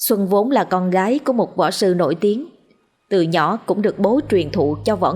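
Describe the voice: The background is quiet during this plain reading aloud, whose pitch varies in an ordinary way.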